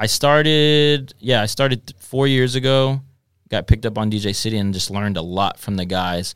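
In an American accent, a man speaks with a normal speaking voice at medium pitch, moderate pace and ordinary pitch variation. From Texas (Dallas). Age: 20s. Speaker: DJ. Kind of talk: casual chat. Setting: studio.

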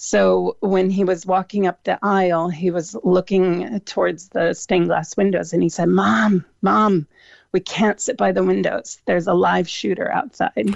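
In a Midwestern accent, the speech moves at a fairly slow pace with very even loudness and a dry, close sound with no echo. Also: woman. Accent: American Midwest. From US Midwest, Cleveland, Ohio. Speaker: food truck owner. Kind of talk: radio interview.

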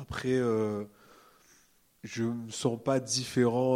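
A man talks in a dark, mellow tone. His intonation stays fairly even. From Réunion. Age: 20s. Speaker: illustrator. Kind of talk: live panel conversation. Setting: stage with audience.

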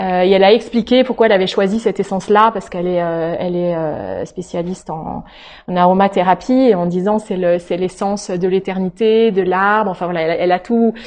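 A woman talks very fast at a medium pitch, her intonation fairly even. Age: 40s. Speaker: pastor. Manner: halting.

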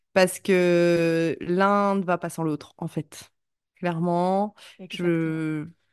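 The speech moves at a very slow pace in a monotone, flat intonation. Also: woman, fairly low pitch for a woman. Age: 30s. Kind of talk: casual interview chat. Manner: hesitant, many fillers.

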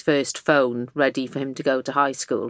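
A woman speaks with a strong Welsh accent. Her pitch is very deep and low. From South Wales valleys. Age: 40s. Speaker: magazine editor-in-chief. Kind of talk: casual interview chat.

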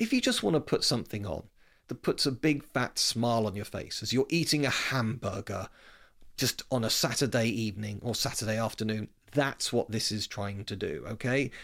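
A man with a British accent and ordinary pitch variation is heard on a very clean recording with a silent background. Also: medium pitch for a man, moderate pace. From Britain. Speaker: history podcast host. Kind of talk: scripted-style solo talk about film history. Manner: conversational, informal.

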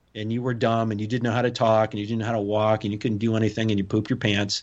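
A man with an American accent speaks at a very fast pace. His pitch is medium, and the background is quiet. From US Midwest. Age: 50s. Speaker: former SWAT commander and strongman. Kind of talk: interview conversation.

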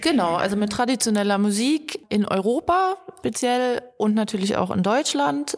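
Amid noticeable background noise, a woman with a fairly high pitch talks at a moderate pace with hardly any pauses, very wide pitch swings and very even loudness. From Harz region, Germany. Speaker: video editor, videographer and photographer. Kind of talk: casual interview. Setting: studio.

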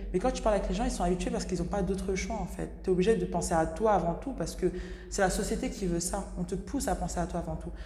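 A woman speaks at a very fast pace. Noticeable background noise and audible room echo surround her voice. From Senegalese heritage. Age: 20s. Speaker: professional basketball player. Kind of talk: interview. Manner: hesitant, many fillers.

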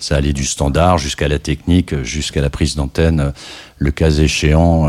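Noticeable background noise runs under this recording. The man's voice is very deep and low in pitch. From France, Loir-et-Cher. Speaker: electronic music scene veteran and jury member. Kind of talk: radio interview. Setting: radio studio.

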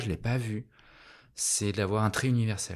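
A man speaks at a moderate pace in a fairly low pitch, his voice somewhat breathy. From France, Annecy. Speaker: artist and designer. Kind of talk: casual interview chat. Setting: artist's studio.

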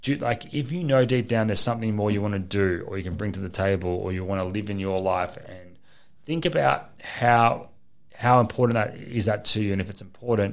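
A man speaks at a fairly quick pace. He talks with an Australian accent. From Queensland, Australia. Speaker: affiliate marketer. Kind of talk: casual chat. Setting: studio.

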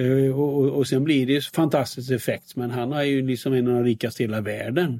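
A man talks at a fairly quick pace with hardly any pauses. His pitch is medium and his intonation fairly even. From Sweden, Västergötland. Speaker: investment company founder and author. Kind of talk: interview. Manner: halting with repetitions.

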